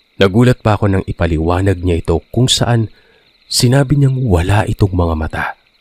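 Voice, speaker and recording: A man speaks fairly quickly in a fairly low, somewhat breathy voice. The sound is dry and close, without echo. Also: ordinary pitch variation. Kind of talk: horror story narration, first-person retelling of listener accounts.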